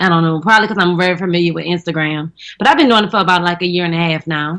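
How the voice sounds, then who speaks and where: Speaking very fast in a strong New Orleans accent, a woman uses a fairly low pitch with ordinary pitch variation. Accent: thick New Orleans. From New Orleans, Louisiana. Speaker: comedian and actress. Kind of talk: casual chat. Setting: radio studio.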